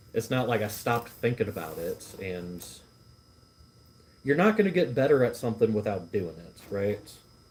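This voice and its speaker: Speaking at a moderate pace over noticeable background noise, a man with a medium pitch uses lively intonation. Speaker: livestreamer and food vlogger. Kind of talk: casual chat. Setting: live stream at workplace. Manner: stumbles over words.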